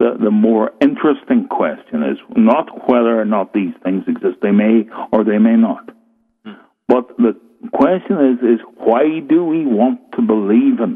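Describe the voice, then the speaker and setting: Delivered at a fairly slow pace, the voice comes in a Northern Irish accent. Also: man. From Northern Ireland, rural. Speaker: author on folklore and the supernatural. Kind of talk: interview on radio show.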